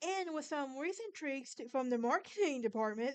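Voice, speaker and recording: A woman speaks in an American accent. Her pace is moderate. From Alabama, US South. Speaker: podcast host. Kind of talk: casual monologue; informal storytelling on history and folklore. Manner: halting, with false starts.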